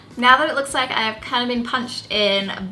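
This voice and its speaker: A woman with a high pitch speaks at a moderate pace with ordinary pitch variation. There is noticeable background noise. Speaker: beauty youtuber. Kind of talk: tutorial. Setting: home apartment. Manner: casual, chatty.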